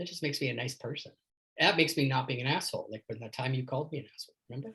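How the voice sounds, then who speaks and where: Talking at a very fast pace, a man uses a fairly high pitch with ordinary pitch variation. His tone is animated, and his loudness swings widely. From Canada. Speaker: leadership coach. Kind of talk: casual chat.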